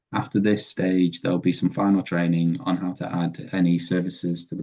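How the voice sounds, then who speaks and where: A very deep, low male voice in a Yorkshire accent, dark and mellow in tone, at a fairly quick pace with ordinary pitch variation. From northern England, Sheffield. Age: 30s. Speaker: web developer. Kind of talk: presentation.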